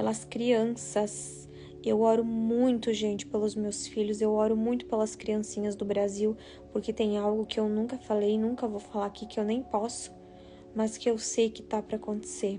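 A woman talks at a moderate pace over faint music in the background. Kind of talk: casual live stream talk. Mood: solemn, warning tone. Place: home room. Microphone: phone near.

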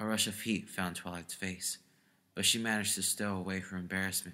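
A natural voice reading aloud, intonation fairly even

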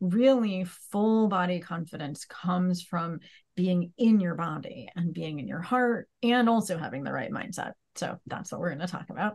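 Over a quiet background, a woman with a fairly low pitch and somewhat breathy voice speaks at a moderate pace with lively intonation. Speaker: podcast host. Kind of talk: interview introduction. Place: home room. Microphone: earbuds.

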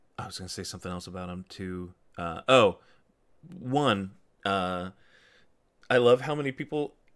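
Over a silent background in a very clean recording, a man with a fairly low pitch talks at a moderate pace, his loudness swinging widely, with long, frequent pauses. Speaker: YouTube show host. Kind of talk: casual chat. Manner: animated.

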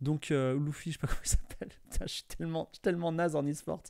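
A man speaks against a quiet background. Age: 40s. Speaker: streamer. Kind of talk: casual chat. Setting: live stream. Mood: cheerful, birthday stream. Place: home room. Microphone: studio mic.

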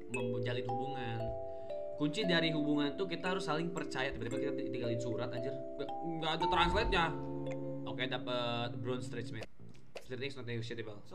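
Loud music plays behind a man who talks at a very fast pace. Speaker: game streamer. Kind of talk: casual gameplay commentary. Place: home room.

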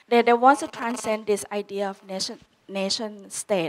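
The speaker is a woman with ordinary pitch variation. She keeps a moderate pace. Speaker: panelist. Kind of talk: panel discussion answer. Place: hall. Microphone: handheld.

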